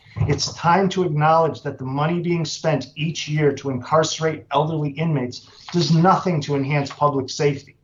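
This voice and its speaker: A man with a fairly high pitch speaks at a moderate pace. His voice is somewhat breathy, with hardly any pauses. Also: fairly even intonation. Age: 60s. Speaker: incarcerated person testifying. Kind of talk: legislative testimony. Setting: committee hearing. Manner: formal.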